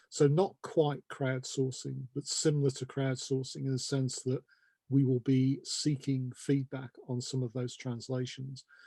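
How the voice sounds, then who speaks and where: In a British accent, a man speaks at a fairly slow pace in a medium-pitched, dark, mellow, somewhat breathy voice with monotone, flat intonation and a dry, close sound with no echo. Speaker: terminology organization representative. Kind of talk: interview. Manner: measured, explanatory.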